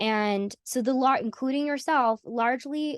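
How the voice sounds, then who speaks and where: A woman with an American accent speaks against a quiet background, the sound dry and close with no echo. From US South. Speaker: AI conference founder. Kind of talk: interview conversation. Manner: animated; halting.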